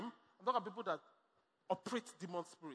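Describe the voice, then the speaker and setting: Raised and projected, a man's voice sounds animated, bright and sharp, with ordinary pitch variation. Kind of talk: sermon. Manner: animated, exhortative call-and-response preaching; punchy, repetitive, rising in intensity.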